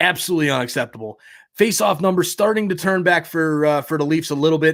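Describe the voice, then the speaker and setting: Over a silent background in a very clean recording, a man talks at a fairly quick pace with a fairly high pitch and ordinary pitch variation. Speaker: sports streamer. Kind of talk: live commentary. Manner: fast.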